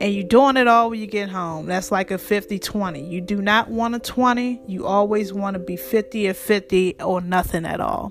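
A woman talks at a moderate pace, her pitch varying in an ordinary way, while noticeable background noise carries on behind her. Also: medium pitch for a woman. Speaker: podcast host and relationship coach. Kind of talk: solo podcast talk on relationships. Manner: casual, chatty.

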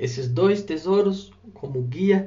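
This man sounds somewhat breathy, with lively intonation. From Brazil, São Paulo coast (Guarujá). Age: 30s. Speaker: religious speaker. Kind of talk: religious talk. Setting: recorded audio for radio.

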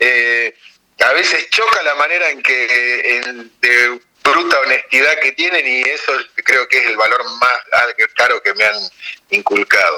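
A man talks fairly slowly, stopping often for long pauses. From Argentina, Tierra del Fuego (Ushuaia). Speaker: farmer. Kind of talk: interview. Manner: hesitant, many fillers and repetitions.

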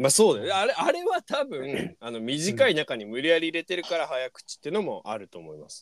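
Talking at a fairly quick pace with hardly any pauses, a man swings widely in loudness. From rural Miyagi, Japan. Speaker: podcast host and band guitarist. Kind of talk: casual chat. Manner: animated.

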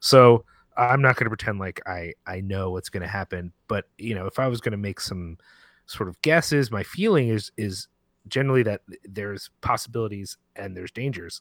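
On a very clean recording with a silent background, a man talks at a moderate pace and a fairly low pitch with ordinary variation. The sound is dry and close with no echo, and his loudness swings widely. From US, Puerto Rican heritage. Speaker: film podcaster and writer. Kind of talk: casual interview chat.

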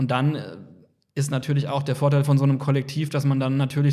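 Talking at a very fast pace, a man uses monotone, flat intonation at a fairly high pitch. His tone is dark and mellow and somewhat breathy. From Kaiserslautern, Palatinate, Germany. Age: 30s. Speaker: photographer. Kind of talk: casual interview chat.

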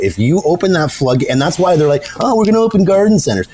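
An animated man speaks at a fairly high pitch with very wide swings, over noticeable background noise. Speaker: podcast co-host. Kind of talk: casual banter podcast. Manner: profane, animated.

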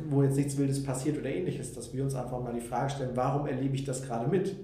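Room echo is audible, and background noise is noticeable. The talking goes at a fairly quick pace. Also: man. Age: 20s. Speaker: coach. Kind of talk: interview. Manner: hesitant, many fillers.

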